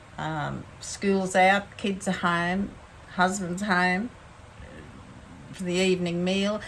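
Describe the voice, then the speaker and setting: A woman at a medium pitch in a monotone, flat intonation, at a very slow pace with long, frequent pauses and audible room echo. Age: 70s. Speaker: faith vlogger. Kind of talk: casual talk to camera. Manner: halting.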